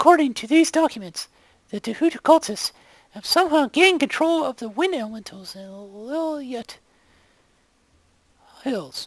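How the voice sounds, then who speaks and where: A woman in a put-on character voice with a high pitch speaks at a moderate pace, with lively intonation, big swings in loudness and long, frequent pauses. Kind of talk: video game voice acting. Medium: video game.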